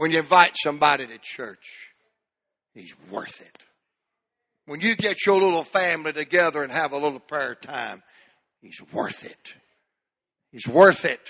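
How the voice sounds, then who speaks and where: A man with a Southern US accent talks fairly slowly in a bright, sharp tone, his pitch fairly high and varying in an ordinary way. His loudness swings widely, and long pauses come often. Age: 60s. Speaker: pastor. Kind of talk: sermon. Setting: church.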